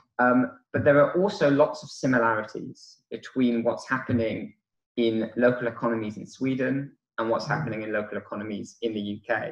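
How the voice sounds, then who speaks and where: This voice has a British accent and ordinary pitch variation. The pace is fairly quick. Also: man, medium pitch for a man. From United Kingdom. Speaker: conference keynote speaker. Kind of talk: conference talk. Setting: conference hall with audience. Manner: hesitant, many fillers.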